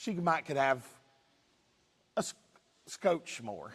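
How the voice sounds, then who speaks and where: Speaking in an Eastern Kentucky accent, a man keeps a moderate pace. His intonation is lively. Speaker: livestock judge. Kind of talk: demonstration talk. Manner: casual.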